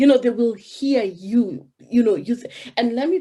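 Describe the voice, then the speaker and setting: Speaking at a fairly slow pace with a Kenyan accent, a woman has a dark, mellow, somewhat breathy tone. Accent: Kenyan, African. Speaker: business coach. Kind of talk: interview.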